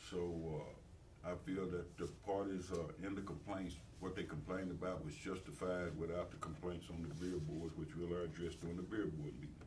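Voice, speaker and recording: With a Tennessee accent and a very deep, low pitch, a man talks at a fairly quick pace with fairly even intonation, amid noticeable background noise and audible room echo. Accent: US Southern (Tennessee). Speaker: mayor chairing city meeting. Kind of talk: city council meeting report. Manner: fast; halting, many fillers.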